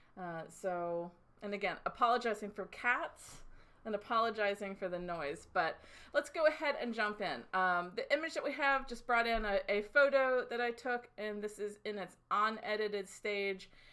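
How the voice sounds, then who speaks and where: A loud woman with a fairly high pitch and a bright, sharp tone, ordinary pitch variation and a moderate pace, on a very clean recording with a silent background. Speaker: design instructor. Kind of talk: tutorial. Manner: gets louder when excited.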